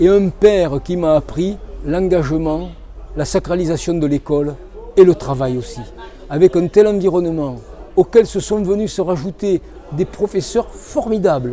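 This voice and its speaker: Over noticeable background noise, a man with a high pitch talks at a fairly slow pace with ordinary pitch variation and long, frequent pauses. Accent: southern French. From southern France, Cévennes foothills (Hérault/Gard). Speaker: author. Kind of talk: interview.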